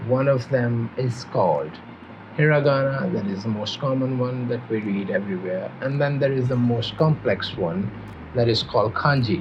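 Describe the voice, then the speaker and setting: Amid noticeable background noise and audible room echo, a man speaks at a moderate pace with medium pitch and ordinary pitch variation. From Pakistan. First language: Urdu and Punjabi. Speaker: language teacher. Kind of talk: tutorial. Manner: hesitant, with fillers and restarts.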